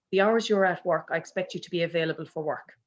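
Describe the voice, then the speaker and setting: In a Kerry accent, a woman speaks at medium pitch with monotone, flat intonation against a quiet background. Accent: Irish (Kerry). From Ireland, County Kerry. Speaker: business owner, HR consultant. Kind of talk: panel discussion.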